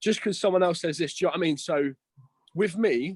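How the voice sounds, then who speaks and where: Here a man with a southern English accent speaks at a high pitch with lively intonation. The sound is dry and close, without echo. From Isle of Wight, southern England. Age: 20s. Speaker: online fitness coach and bodybuilder. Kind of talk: casual chat.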